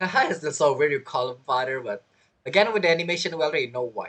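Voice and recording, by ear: Fairly quick pace, fairly bright tone and lively intonation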